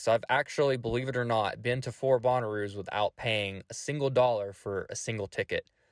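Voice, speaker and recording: With a Tennessee accent, the voice moves at a moderate pace with ordinary pitch variation. The recording is very clean with a silent background, and the sound is dry and close with no echo. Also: man. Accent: Southern US (Tennessee). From Middle Tennessee. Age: 20s. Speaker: podcast host. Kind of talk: casual solo monologue.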